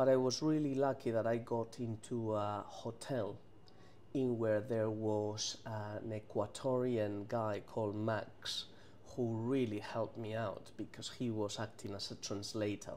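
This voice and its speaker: A man's dark, mellow voice, fairly slow and monotone with flat intonation. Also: medium pitch for a man. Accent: Spanish. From Spain, Madrid. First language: Spanish. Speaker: chef. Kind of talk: interview. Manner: halting, many repetitions.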